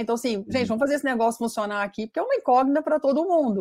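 The recording is very clean, with a silent background. A woman with a dark, mellow tone talks at a very fast pace with ordinary pitch variation. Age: 50s. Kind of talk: interview.

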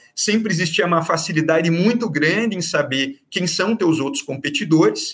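A man speaks at a moderate pace. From Brazil, Curitiba (Paraná). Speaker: public prosecutor. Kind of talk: interview on law. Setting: remote recording. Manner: halting, many fillers.

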